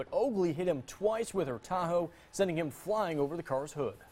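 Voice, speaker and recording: A man rattles along at a very fast pace. His fairly high voice has lively intonation. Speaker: TV news anchor. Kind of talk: TV news read. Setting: studio.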